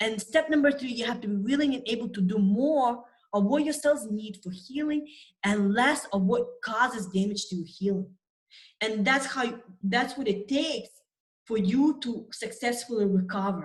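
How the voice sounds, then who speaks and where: In an ordinary speaking voice, a woman talks with ordinary pitch variation at a moderate pace. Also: fairly high pitch for a woman. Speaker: nutrition coach and immunology scientist. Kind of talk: webinar presentation. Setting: online webinar with screen share.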